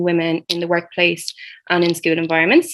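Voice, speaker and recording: With an Irish accent, a woman talks at a fairly quick pace and a fairly low pitch. The background is quiet. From Ireland. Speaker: student social entrepreneur. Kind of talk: panel discussion.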